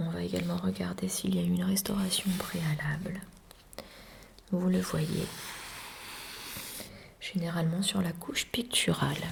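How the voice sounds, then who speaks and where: Whispering and soft-spoken, a woman talks at a fairly slow pace with long, frequent pauses. Noticeable background noise is present. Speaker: art restorer teacher (roleplay). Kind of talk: asmr roleplay lesson. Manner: soft-spoken, whispery.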